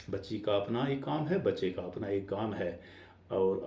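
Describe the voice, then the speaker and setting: The voice is somewhat breathy. Room echo is audible. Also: man. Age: 60s. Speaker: vlogger. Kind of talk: casual monologue. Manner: hesitant, with fillers.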